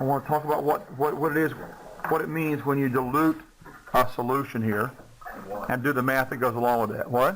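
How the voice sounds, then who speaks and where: A man with a Southern US accent speaks at a fairly quick pace, broken by long, frequent pauses. His intonation stays fairly even over noticeable background noise. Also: medium pitch for a man. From US South. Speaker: chemistry teacher. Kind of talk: lecture.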